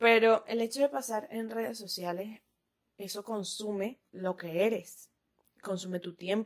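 Using an unremarkable speaking voice, a woman talks at a fairly slow pace and fairly high pitch, with ordinary pitch variation. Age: 20s. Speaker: podcast host. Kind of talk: casual monologue. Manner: laughs often.

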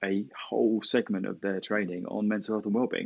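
Using a normal speaking voice, a man talks at a fairly low pitch and a fairly quick pace. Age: 40s. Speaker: tech company co-founder. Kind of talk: interview.

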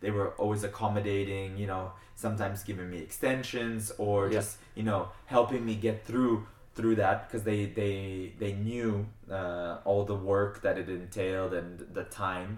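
A man with a New Jersey accent, fairly low in pitch, monotone and flat, at a moderate pace. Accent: American (New Jersey). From US (California, then New Jersey), Argentinian family. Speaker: international fencer and student athlete. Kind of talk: casual interview.

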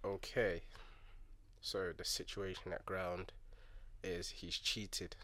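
A man speaks with a London accent at a very slow pace. Long, frequent pauses break up his speech. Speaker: DJ. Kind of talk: casual chat.

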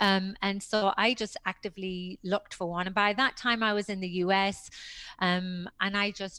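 A woman with a British accent and a bright, sharp tone, on a very clean recording with a silent background. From Britain. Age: 50s. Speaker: personal trainer and author. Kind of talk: interview.

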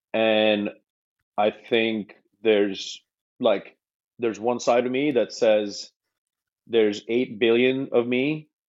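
With very even loudness and fairly even intonation, a man at a medium pitch talks at a very slow pace, leaving long, frequent pauses. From India. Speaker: podcast guest, Web3 entrepreneur. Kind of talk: casual chat.

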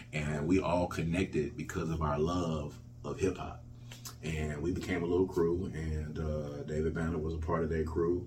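A man with a Mississippi accent speaks in a very deep, low voice with fairly even intonation, and the room has an audible echo. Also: moderate pace. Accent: US Southern (Mississippi). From Jackson, Mississippi. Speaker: hip hop artist and music festival founder. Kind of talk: interview.

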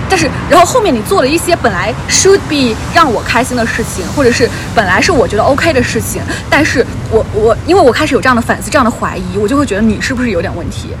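This voice sounds animated and races along at a very fast pace. Noticeable background noise runs underneath. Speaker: podcast host. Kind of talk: casual chat. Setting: outdoors by the roadside at night. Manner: animated, with tipsy outbursts.

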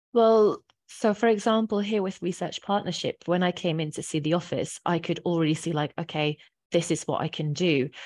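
A woman speaks with a fairly low pitch and ordinary pitch variation. Her pace is moderate. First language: not English. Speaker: office manager. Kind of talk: casual interview.

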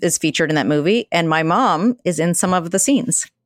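A woman with an American accent and an unremarkable speaking voice talks at a fairly quick pace and fairly low pitch, in a dry, close sound with no echo and a very clean recording with a silent background. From US South, Atlanta, Georgia. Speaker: volunteer organizer, former lawyer. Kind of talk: interview.

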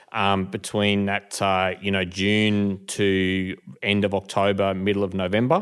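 A man with an Australian accent, fairly low in pitch, flat and monotone, fairly slow, his loudness very even. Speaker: hay business owner. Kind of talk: casual chat.

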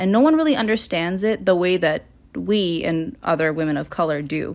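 With a Canadian accent and a normal speaking voice, a woman speaks at a moderate pace and a medium pitch. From Toronto, Canada. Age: 20s. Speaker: podcast host. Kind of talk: casual monologue. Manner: relaxed, laid back.

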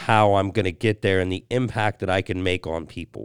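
Recorded very cleanly over a silent background, a man's fairly low voice comes across dry and close, with no echo. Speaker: podcast host, veteran. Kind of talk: casual chat. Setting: studio. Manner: talkative.

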